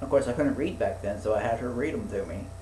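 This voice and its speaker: A man's voice with audible room echo. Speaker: podcast host. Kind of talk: casual chat. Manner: stuttering; halting.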